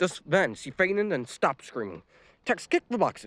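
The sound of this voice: Reading in an unforced voice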